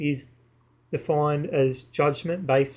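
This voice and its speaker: This man's voice is somewhat breathy. He keeps a moderate pace. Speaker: YouTuber / vlogger. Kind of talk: casual monologue to camera. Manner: halting, with many fillers; partly reading from screens.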